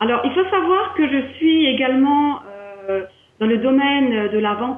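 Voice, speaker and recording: Over noticeable background noise, a woman with an Alsatian accent speaks fairly slowly in a high pitch that makes very wide swings. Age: 50s. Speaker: wellness entrepreneur, training client. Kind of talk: interview testimony.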